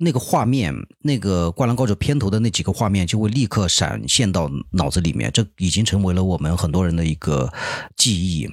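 The voice has very even loudness, lively intonation and a fairly quick pace. The recording is very clean, with a silent background. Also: man, very deep, low pitch for a man. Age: 30s. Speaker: podcast host and amateur stand-up comedian. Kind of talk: casual solo monologue. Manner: hesitant, many filler sounds.

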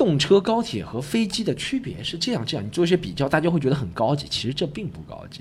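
A man talks very fast at a fairly high pitch with very wide pitch swings and vocal fry. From Shanghai. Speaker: stand-up comedian. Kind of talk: casual interview chat. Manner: animated, joking.

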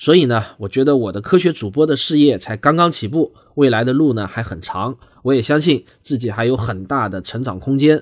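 Lively in intonation, a man speaks fairly quickly at a medium pitch. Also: very clean recording, silent background. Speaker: science podcaster. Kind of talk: podcast discussion.

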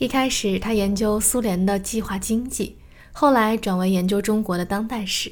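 With a normal speaking voice, a woman talks at medium pitch and a moderate pace, her intonation fairly even. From Shanghai, China. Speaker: podcast host and storyteller. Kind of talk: scripted narration.

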